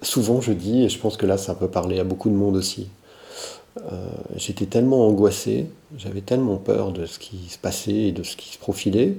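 Dark and mellow in tone, a man's somewhat breathy voice moves at a moderate pace with ordinary pitch variation. His loudness swings widely, and he leaves long, frequent pauses. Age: 50s. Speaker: political science lecturer. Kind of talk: interview conversation. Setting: at his home. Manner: hesitant, with many fillers.

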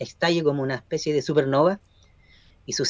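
This man has an ordinary speaking voice, fairly high in pitch, with fairly even intonation and a fairly quick pace. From Chile, Concepción area. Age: 40s. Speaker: journalist. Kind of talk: radio interview.

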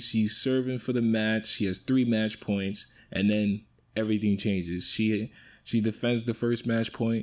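This man speaks at a moderate pace with a New York accent and a fairly low pitch. The recording is very clean, with a silent background. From New York City (Bronx). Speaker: sports podcast host. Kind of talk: solo sports talk monologue. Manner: animated.

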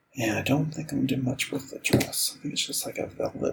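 Over noticeable background noise, a man speaks in a relaxed tone. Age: 40s. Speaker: podcast host and artist. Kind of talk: casual chat while drawing. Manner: relaxed, meandering.

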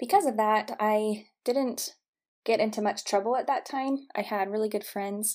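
With an American accent, a woman uses a plain, everyday voice at a fairly high pitch, a moderate pace and fairly even intonation, on a very clean recording with a silent background. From Utah (St. George). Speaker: therapist and podcast host. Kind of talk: personal monologue.

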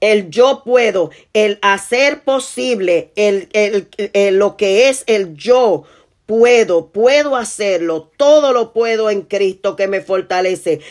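A woman talks very slowly at a medium pitch. Her intonation is lively. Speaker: preacher. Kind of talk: sermon. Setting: online video platform. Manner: rhythmic, repetitive emphasis, often restating key phrases.

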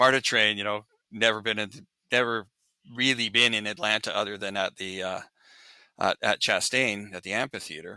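A man speaks at a moderate pace in a bright, sharp tone, with fairly even intonation and long, frequent pauses. The recording is very clean with a silent background and a dry, close sound with no echo. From Canadian Prairies, Regina. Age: 60s. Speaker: touring lighting technician turned vendor. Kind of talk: casual interview.

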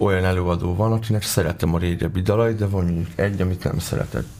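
Very fast speech from a man with a fairly low pitch and ordinary pitch variation, set against noticeable background noise. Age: 20s. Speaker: rapper and lyricist. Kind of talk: radio interview.

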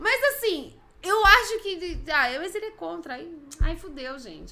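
A woman uses a raised, projected voice with a bright, sharp tone. Her pitch swings very widely. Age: 30s. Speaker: live stream co-host. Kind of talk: casual chat.

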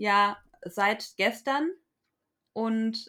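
A woman speaks with a fairly high pitch and a bright, sharp tone. The recording is very clean with a silent background. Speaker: podcast co-host. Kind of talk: casual chat. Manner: halting.

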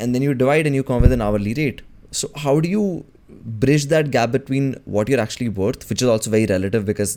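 The voice has a dark, mellow tone and lively intonation. It moves at a fairly quick pace. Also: man. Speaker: podcast host. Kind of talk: casual interview.

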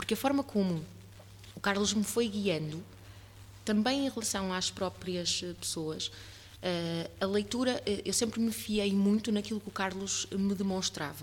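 Somewhat breathy, a woman speaks at a medium pitch and fairly slow pace with ordinary pitch variation. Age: 30s. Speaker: podcast host and voice workshop leader. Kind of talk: casual interview chat.

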